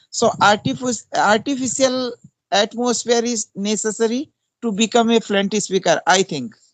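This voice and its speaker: The speaker has an Indian accent and talks at a moderate pace with ordinary pitch variation, in a dry, close sound with no echo. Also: man, high pitch for a man. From India, Uttarakhand (Pauri Garhwal). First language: Hindi. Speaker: English teacher. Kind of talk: casual chat. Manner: halting.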